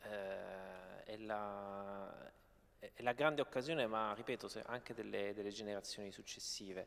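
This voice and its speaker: A man at a medium pitch, speaking at a very slow pace. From Apulia, southern Italy. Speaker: novelist. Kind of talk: panel discussion. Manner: halting, many repetitions.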